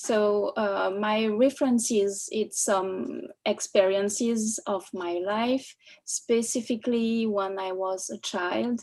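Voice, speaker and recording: Speaking with a French accent, a woman goes at a very slow pace with a fairly high pitch and fairly even intonation. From France. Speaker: artist. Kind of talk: panel discussion. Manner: halting.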